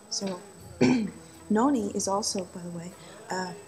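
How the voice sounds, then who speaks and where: Music plays in the background. The speaker talks at a moderate pace. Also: woman. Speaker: vlogger. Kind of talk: casual vlog monologue.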